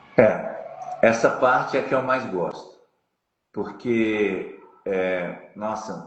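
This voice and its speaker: A man speaks with audible room echo. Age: 60s. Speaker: jiu-jitsu master. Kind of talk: interview.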